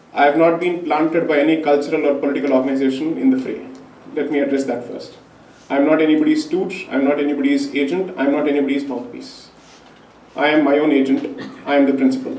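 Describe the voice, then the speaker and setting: Amid noticeable background noise and audible room echo, a man with a Tamil accent speaks very fast in a fairly high voice with fairly even intonation. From India. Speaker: lawyer. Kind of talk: public talk. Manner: formal.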